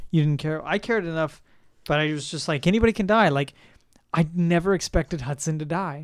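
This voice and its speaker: A man's normal speaking voice, fairly high for a man, with ordinary pitch variation and a fairly quick pace. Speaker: podcast co-host, film enthusiast. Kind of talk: casual chat.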